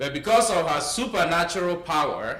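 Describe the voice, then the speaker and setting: Amid noticeable background noise and audible room echo, a man speaks with an African accent. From eastern Nigeria. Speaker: climate justice speaker, doctoral student. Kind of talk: talk with a story.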